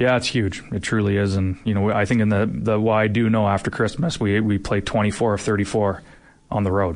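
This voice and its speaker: Using an unremarkable speaking voice, a man talks at a moderate pace with a fairly low pitch, very even loudness, and fairly even intonation. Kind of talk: radio interview. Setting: studio.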